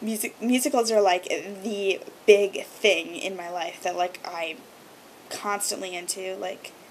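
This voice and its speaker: With noticeable background noise, a woman speaks fairly slowly at a medium pitch. Her loudness swings widely. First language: Hebrew. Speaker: video blogger. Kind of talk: casual vlog monologue. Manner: many filler ums.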